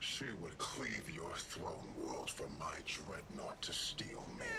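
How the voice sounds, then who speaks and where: A man's put-on character voice at a very slow pace, over loud background noise. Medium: video game. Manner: haughty, grave.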